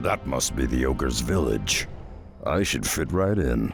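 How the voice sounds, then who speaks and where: With clear music in the background, a man puts on a raspy character voice at a moderate pace. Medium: video game.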